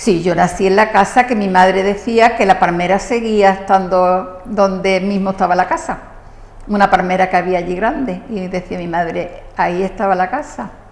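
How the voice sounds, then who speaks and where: A woman speaks at a moderate pace with a medium pitch. Her pitch varies in an ordinary way, and there is noticeable background noise. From southern Spain, Marbella (Andalusia). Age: 70s. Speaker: local resident profiled on TV. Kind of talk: TV interview.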